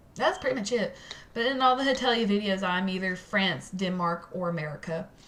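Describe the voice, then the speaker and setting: A woman talks fairly quickly, and audible room echo can be heard around her voice. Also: medium pitch for a woman, lively intonation. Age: 20s. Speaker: cosplayer and vlogger. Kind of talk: casual vlog update. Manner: halting, with stuttering and filler words.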